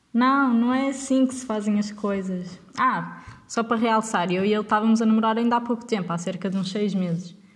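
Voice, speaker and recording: Speaking at a moderate pace with hardly any pauses, a woman has a fairly high pitch. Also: ordinary pitch variation. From northern Portugal, Vila Nova de Gaia. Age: 20s. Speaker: podcast host. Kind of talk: casual storytelling monologue. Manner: animated.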